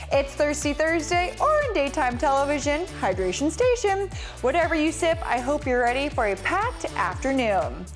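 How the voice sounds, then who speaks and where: With music in the background, a woman speaks at a moderate pace. Her loudness stays very even and she leaves hardly any pauses. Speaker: TV show host. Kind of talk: daytime TV show host intro.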